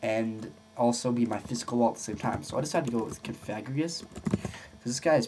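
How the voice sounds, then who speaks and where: At a fairly quick pace, the man talks in a medium pitch. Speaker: gaming video creator. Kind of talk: tutorial. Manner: fast; halting. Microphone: poor audio, no proper mic.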